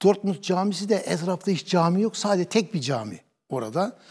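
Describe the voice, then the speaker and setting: A man with a dark, mellow tone and lively intonation, over a quiet background. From Turkey, Kütahya; Turkey. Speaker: imam. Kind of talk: interview testimony. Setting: studio. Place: studio. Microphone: lapel.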